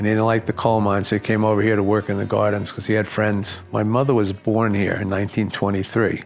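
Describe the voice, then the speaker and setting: A man's very fast, monotone, flat delivery at a fairly low pitch with a New York accent, music in the background. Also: hardly any pauses. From New York, Long Island. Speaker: community elder. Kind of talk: interview. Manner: halting.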